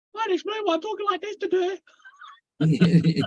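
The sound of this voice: At a fairly slow pace, a put-on character voice comes out squeaky and extremely high in pitch.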